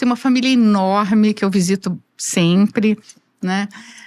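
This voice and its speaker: A woman's fairly high, ordinary speaking voice with ordinary pitch variation at a moderate pace, on a very clean recording with a silent background. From Brazil, rural interior. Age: 60s. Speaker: engineer, construction association president. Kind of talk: interview.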